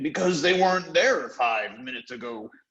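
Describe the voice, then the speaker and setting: A man performs a put-on character voice. It sits at a fairly high pitch with very wide pitch swings. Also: moderate pace. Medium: read story.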